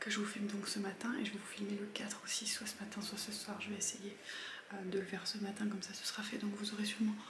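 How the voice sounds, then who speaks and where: A soft-spoken woman with a fairly high pitch is heard with audible room echo and noticeable background noise. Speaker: vlogger. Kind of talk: casual vlog. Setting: at home in the morning. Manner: speaks softly; hesitant, many fillers.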